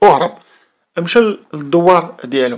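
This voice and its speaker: This is a man speaking. He has a Moroccan accent. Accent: Moroccan Arabic (Darija). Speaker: YouTube storyteller. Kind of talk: storytelling narration of a crime case.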